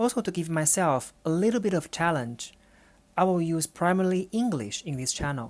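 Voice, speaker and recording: A woman with a Chinese accent and a very deep, low voice speaks at a moderate pace. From China. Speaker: podcast host, urban planner and researcher. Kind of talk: solo podcast monologue. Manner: slightly halting, non-fluent.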